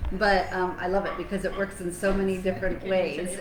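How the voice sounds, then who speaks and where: Noticeable noise and audible echo from the room surround speech with an American accent. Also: woman. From United States. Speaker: wellness show co-host. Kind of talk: casual chat. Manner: hesitant, many fillers.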